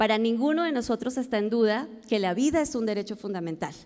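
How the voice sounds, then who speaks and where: Speaking at a fairly quick pace, a woman has a plain, everyday voice with a fairly high pitch. The background is quiet. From Colombia. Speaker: health organization founder and CEO; conference speaker. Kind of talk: conference talk. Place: hall. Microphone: podium.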